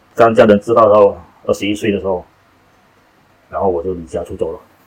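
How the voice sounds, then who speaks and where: A man is speaking. His pace is fairly quick. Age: 40s. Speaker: rehab center deputy director, former drug user. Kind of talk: testimony.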